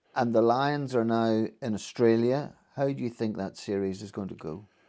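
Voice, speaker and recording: Over a quiet background, a man with a Northern Irish accent speaks at medium pitch and a moderate pace, his tone dark and mellow, with ordinary pitch variation. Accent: Northern Irish (Ulster). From Northern Ireland, Ballymena. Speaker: interviewer. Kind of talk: interview.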